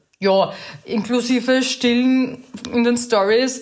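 A woman talks with an Austrian accent. Her pitch moves in an ordinary way. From Lower Austria, rural. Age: 30s. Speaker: social media influencer and mother. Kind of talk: casual chat.

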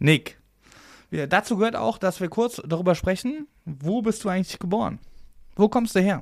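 A man with a high voice speaks at a moderate pace, using lively intonation and long, frequent pauses, on a very clean recording with a silent background. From Oberbergischer Kreis, western Germany. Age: 30s. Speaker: podcast host. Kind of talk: casual interview.

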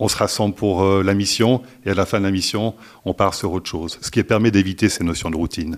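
On a very clean recording with a silent background, a man talks at a fairly quick pace, his fairly low pitch carried by fairly even intonation. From Switzerland (French-speaking). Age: 50s. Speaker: staffing company executive. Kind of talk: interview. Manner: hesitant with fillers and repetitions.

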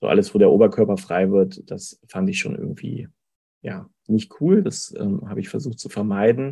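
The man's volume rises and falls sharply. He talks at a moderate pace. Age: 40s. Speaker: payroll clerk, coaching client. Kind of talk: testimonial interview. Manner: hesitant, many fillers.

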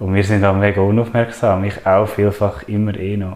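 A man's fairly low pitch, monotone with flat intonation, at a moderate pace. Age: 30s. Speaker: nature and wilderness trainer. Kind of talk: casual interview.

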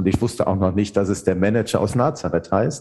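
With a dark, mellow tone that is somewhat breathy, a man speaks at a moderate pace. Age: 50s. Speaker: theologian and author. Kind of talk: interview.

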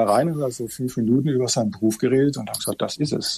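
This is a man speaking at a medium pitch. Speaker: judge. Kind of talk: podcast interview. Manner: hesitant, many fillers.

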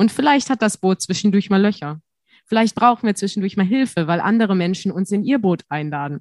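A woman's unremarkable speaking voice, medium in pitch, with lively intonation at a fairly quick pace, the sound dry and close with no echo. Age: 20s. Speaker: student teacher and podcaster. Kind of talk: interview.

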